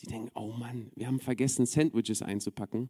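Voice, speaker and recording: This man's voice has a medium pitch and a dark, mellow tone, recorded with a dry, close sound and no echo. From Berlin, Germany. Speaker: preacher. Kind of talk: sermon.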